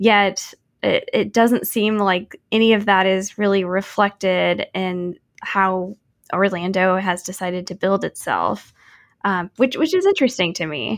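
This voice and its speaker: A fairly slow delivery in a Midwestern American accent, on a very clean recording with a silent background. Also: woman, medium pitch for a woman, ordinary pitch variation. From Kansas City, Missouri. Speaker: podcast host, urban planner. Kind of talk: casual interview.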